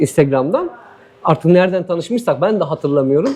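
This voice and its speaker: A man speaks with very wide pitch swings. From Turkey, Diyarbakır. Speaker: former footballer living abroad. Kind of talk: casual interview.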